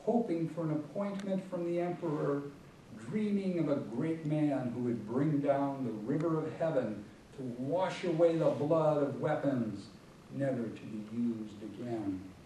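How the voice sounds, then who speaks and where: A fairly high-pitched man with an American accent, lively intonation and a fairly slow pace, over noticeable background noise. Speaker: poet. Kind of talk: poetry reading. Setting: church hall, live audience.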